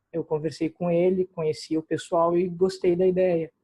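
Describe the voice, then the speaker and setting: A man speaks in a dark, mellow tone at a high pitch, flat and monotone. The sound is dry and close with no echo. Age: 20s. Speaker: history student, political volunteer. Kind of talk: self-introduction in online meeting.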